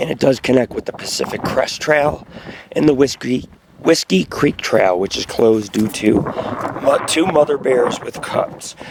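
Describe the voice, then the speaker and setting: A man speaking at a moderate pace with noticeable background noise. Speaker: outdoor vlogger, bigfoot hunter. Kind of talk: casual vlog narration while hiking. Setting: outdoors on a hiking trail.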